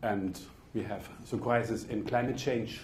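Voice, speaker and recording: With a German accent and a somewhat breathy voice, a speaker talks at a moderate pace with fairly even intonation, with audible room echo. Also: man. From Germany. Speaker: politician. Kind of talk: speech. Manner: formal.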